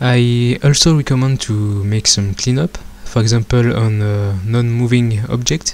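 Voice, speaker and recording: With a non-native accent, a man speaks at medium pitch. His pace is fairly slow and his intonation fairly even. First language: not English. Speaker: software tutorial creator. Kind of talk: tutorial. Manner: hesitant, frequent filler sounds.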